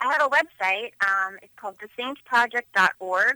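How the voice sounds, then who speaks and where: With a bright, sharp tone and lively intonation, a woman speaks in an American accent, the sound dry and close with no echo. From Philadelphia, Pennsylvania. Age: 30s. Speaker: photographer. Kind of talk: radio interview. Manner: hesitant, many fillers.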